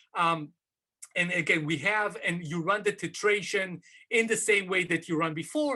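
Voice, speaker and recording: Raised and projected, a man's voice sounds bright and sharp, high in pitch, with ordinary pitch variation at a moderate pace. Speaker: professor. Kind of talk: academic seminar talk. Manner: hesitant, many fillers.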